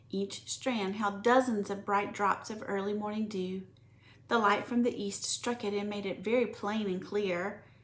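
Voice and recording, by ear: A passage is being read aloud in a natural voice.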